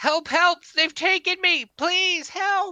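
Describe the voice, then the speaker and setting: An extremely high put-on character voice at a very slow pace. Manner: yelling for help.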